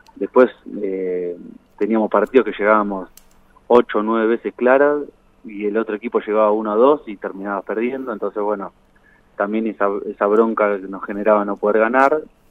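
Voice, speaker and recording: With long, frequent pauses, a man talks at a fairly quick pace in a fairly low pitch and fairly even intonation. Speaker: former footballer. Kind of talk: phone interview.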